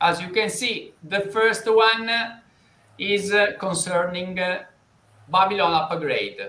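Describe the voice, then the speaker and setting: Someone with an Italian accent speaks very slowly in a raised, projected voice with fairly even intonation and long, frequent pauses, amid audible room echo and noticeable background noise. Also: man, high pitch for a man. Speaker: financial interviewer. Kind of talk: live interview. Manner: halting, many fillers.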